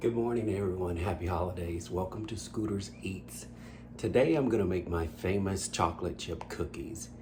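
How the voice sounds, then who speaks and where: Amid noticeable background noise and audible room echo, a man with a very deep, low pitch speaks at a moderate pace with very wide pitch swings. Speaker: home cooking channel host. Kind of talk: cooking tutorial. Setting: home kitchen. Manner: quiet, low-voiced.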